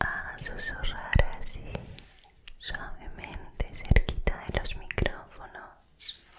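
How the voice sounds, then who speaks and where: Whispering in a gentle tone, a woman speaks at a very slow pace. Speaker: ASMR creator. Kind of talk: soft ASMR whisper to the viewer. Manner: gentle whisper near microphones. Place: home room. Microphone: studio mic.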